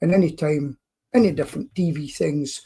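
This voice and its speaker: This man's voice sits fairly high in pitch and comes across somewhat breathy. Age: 60s. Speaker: pest control business owner. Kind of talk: podcast interview.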